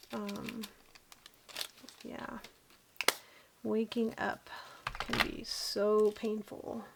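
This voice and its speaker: Long, frequent pauses break up the very slow speech, heard over noticeable background noise. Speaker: diamond painting crafter. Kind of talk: casual craft vlog chat. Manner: hesitant, with fillers.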